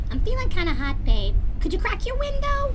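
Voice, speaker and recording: A squeaky, female-sounding cartoonish character voice goes at a fairly quick pace. Loud background noise sits behind it. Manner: sassy, affectionate.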